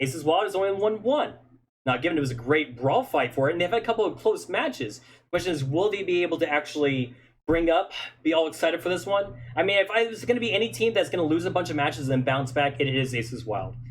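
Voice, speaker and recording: Very wide pitch swings mark this man's fairly high voice. He talks at a very fast pace. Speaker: esports caster. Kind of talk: live commentary. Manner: animated.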